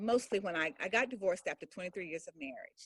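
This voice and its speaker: A woman's voice shows very wide pitch swings in a dry, close sound with no echo. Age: 60s. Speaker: author and speaker interviewed on a podcast. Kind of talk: interview testimony. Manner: halting, repeats words.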